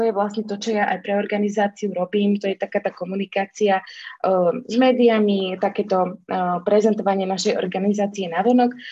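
Somewhat breathy, a woman speaks at a moderate pace with hardly any pauses. Her intonation is monotone and flat. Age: 30s. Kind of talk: casual chat.

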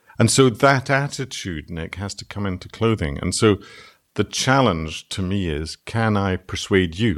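With a Scottish accent, a man talks in a fairly low voice with lively intonation. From Scotland. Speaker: textile designer. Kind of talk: casual chat.

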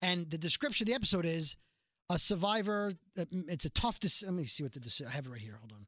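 A man with a New York accent, high-pitched, bright and sharp in tone, very fast, with very wide pitch swings, big swings in loudness, and a dry, close sound with no echo. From Brooklyn, New York. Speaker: podcast host. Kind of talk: casual chat about a TV show. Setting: studio.

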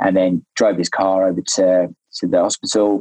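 A man with a British accent speaks in a dry, close recording with no echo. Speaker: spearfisherman who rescued a friend. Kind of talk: casual interview storytelling. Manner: halting, many fillers.

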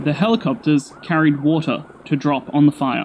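A fairly slow pace in an Australian accent. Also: man. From Australia, Sydney. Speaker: storyteller. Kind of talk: scripted narration.

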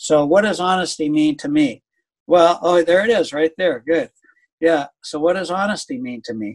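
A man with a high pitch and lively intonation talks at a moderate pace, the sound dry and close with no echo. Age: 70s. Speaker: business leader and author. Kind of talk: casual interview.

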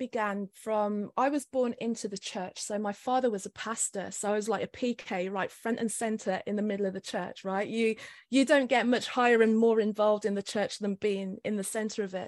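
A woman's fairly high voice, an ordinary speaking voice, with ordinary pitch variation at a moderate pace over a quiet background. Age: 50s. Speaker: spiritual life coach. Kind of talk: interview.

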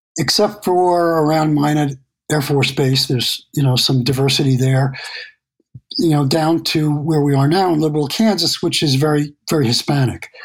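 A man with an American accent speaks at a fairly slow pace in a somewhat breathy, fairly high voice with fairly even intonation. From New York City. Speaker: landscape photographer. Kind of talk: interview.

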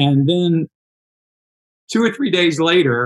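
A man speaks at a fairly high pitch. His pace is slow and his intonation lively.

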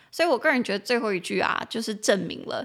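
A woman speaks in an animated tone. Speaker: English teacher podcast host. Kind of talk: language-teaching podcast. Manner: animated, chatty.

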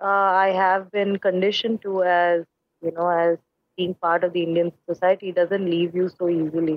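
A woman speaks at a fairly slow pace with very even loudness, monotone, flat intonation and long, frequent pauses. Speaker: artist and drag performer. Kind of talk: interview conversation.

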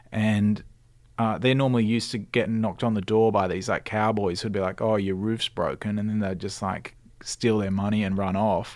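A man talks with fairly low pitch and monotone, flat intonation. The recording is very clean, with a silent background. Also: moderate pace. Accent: Australian. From Australia, Sydney (Cronulla). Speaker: radio presenter and station manager. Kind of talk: casual chat. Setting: studio.

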